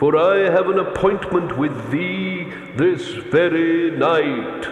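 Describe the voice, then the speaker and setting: A man puts on a high-pitched character voice at a very slow pace. A clear echo surrounds it. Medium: read story. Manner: solemn, archaic "thee".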